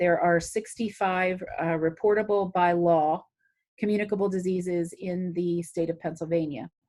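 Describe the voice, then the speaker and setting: Her tone dark and mellow, a woman talks at a moderate pace with fairly even intonation. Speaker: city health department director. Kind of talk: talk to a community group.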